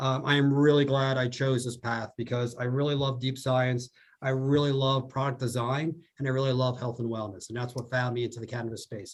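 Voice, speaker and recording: A man with a New Jersey accent talks at a fairly quick pace in a medium pitch. His intonation is monotone and flat. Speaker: food scientist. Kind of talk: podcast interview.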